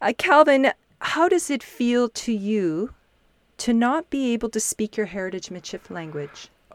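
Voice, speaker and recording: A woman speaks fairly slowly in a fairly high voice with very wide pitch swings. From Saskatchewan, Canada. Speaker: podcast host. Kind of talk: podcast interview.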